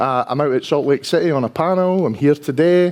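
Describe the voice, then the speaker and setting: With lively intonation, a man speaks in a strong Dundee accent. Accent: strong Dundonian Scottish. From Scotland, Dundee. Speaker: enterprise architect, conference speaker. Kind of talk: conference talk. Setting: stage with audience. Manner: casual, conversational.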